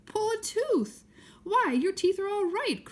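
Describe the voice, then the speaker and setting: Using a put-on character voice, a woman squeaks at an extremely high pitch and a fairly slow pace. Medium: read story.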